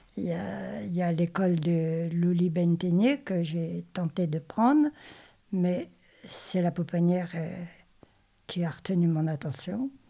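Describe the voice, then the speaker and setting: Using a dark, mellow tone, a woman speaks at a very slow pace with lively intonation and long, frequent pauses. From Normandy, France. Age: 80s+. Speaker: retiree and volunteer. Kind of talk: interview testimony. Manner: halting.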